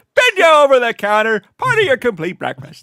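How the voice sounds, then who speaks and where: A man puts on a character voice with an extremely high pitch and talks at a fairly quick pace. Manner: exaggerated, cartoony, comic.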